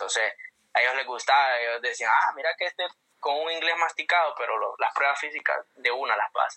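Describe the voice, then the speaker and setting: A man speaks with a Honduran accent. His pace is moderate. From Honduras, Comayagua. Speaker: marine and singer. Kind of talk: casual interview. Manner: halting.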